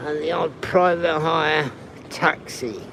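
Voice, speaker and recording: Against noticeable background noise, a man speaks at a very slow pace in a fairly high pitch. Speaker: travel livestreamer. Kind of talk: live stream walking tour. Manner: quiet.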